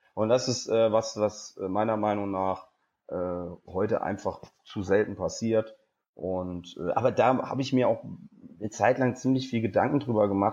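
A man speaks at a moderate pace, his pitch fairly low and his tone dark and mellow. The background is quiet. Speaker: stand-up comedian and presenter. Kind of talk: interview. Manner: extroverted, lively.

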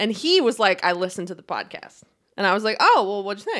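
A woman has an ordinary speaking voice, fairly high in pitch, with lively intonation. The recording is very clean, with a silent background. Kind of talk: casual chat. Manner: laughs often, banters.

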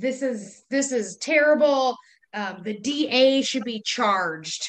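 Speaking in a normal speaking voice with an American accent, a woman has a fairly high pitch and ordinary pitch variation. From US Midwest, Wisconsin. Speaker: podcast co-host. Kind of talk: casual chat.

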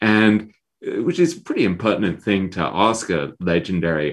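Speaking with an English accent is a man at a moderate pace. His pitch variation is ordinary. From England. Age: 50s. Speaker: author. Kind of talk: interview. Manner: halting.

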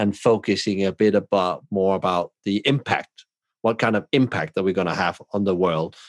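A man's fairly low voice at a moderate pace with fairly even intonation, dry and close with no echo. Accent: Danish. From southern Denmark. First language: Danish. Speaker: hospitality consultant and podcaster. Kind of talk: casual chat.

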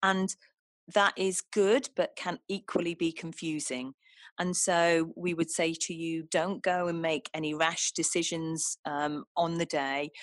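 A woman with a fairly low voice and a plain, everyday voice speaks in a very clean recording with a silent background and a dry, close sound with no echo. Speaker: charity chief executive. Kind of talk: interview.

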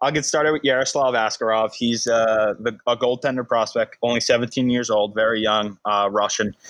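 A man with a plain, everyday voice speaks in a medium pitch. He talks with hardly any pauses and very even loudness. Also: fairly even intonation, moderate pace. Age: 20s. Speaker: hockey podcast host. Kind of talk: casual chat.

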